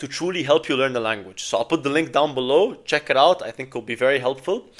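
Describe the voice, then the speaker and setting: A man with an Arabic accent and ordinary pitch variation. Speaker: language learning vlogger. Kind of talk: casual advice talk to camera.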